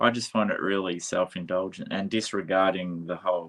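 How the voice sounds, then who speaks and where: This man has an Australian accent. He talks at a fairly slow pace. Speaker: podcast interviewer. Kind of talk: casual interview chat.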